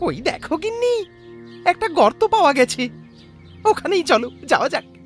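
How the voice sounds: Clear music runs underneath the speech. The voice is a put-on character voice. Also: moderate pace.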